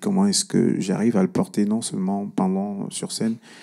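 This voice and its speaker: A man at a fairly slow pace. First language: Cameroonian language (mother tongue) (speaking French). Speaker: singer-songwriter. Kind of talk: panel discussion.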